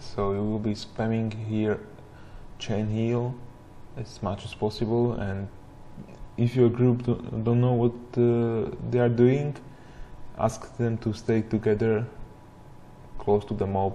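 A man talks at a very slow pace with long, frequent pauses. His medium pitch stays in a monotone, flat intonation. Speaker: gamer. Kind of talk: gameplay commentary. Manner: mumbling.

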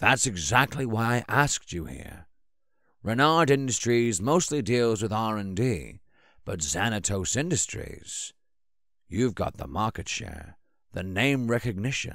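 Using a put-on character voice, a man talks at a fairly slow pace with a raspy, medium pitch, lively intonation and big swings in loudness. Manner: eager, enthusiastic, earnest.

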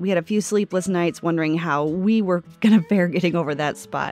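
Music plays behind a woman whose pitch is fairly low, with ordinary pitch variation. She talks at a moderate pace, and the sound is dry with no echo. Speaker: RV travel vlogger. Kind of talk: casual vlog narration.

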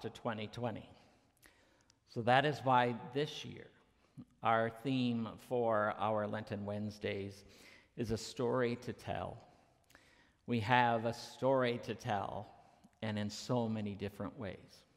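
A man at a fairly slow pace with long, frequent pauses and fairly even intonation, over a quiet background. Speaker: minister. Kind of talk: sermon. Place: church.

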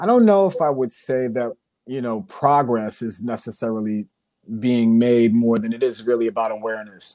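Against a quiet background, a man talks at a moderate pace with ordinary pitch variation, and the sound is dry with no echo. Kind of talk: panel discussion. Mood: earnest, reflective. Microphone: earbuds.

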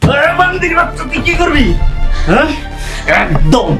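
Putting on a character voice, a man speaks at a moderate pace in an extremely high pitch with big pitch swings, with clear music behind him and audible room echo.

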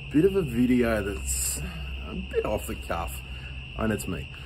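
Noticeable noise fills the background. Over it, a man talks. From Australia. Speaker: farmer and blacksmith. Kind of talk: casual talk to camera. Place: home room. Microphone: phone near.

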